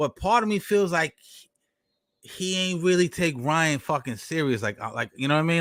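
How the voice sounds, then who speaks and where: A man with an American accent has a bright, sharp tone and very wide pitch swings, his sound dry and close with no echo. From New York. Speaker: boxing podcast host. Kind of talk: casual chat. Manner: halting.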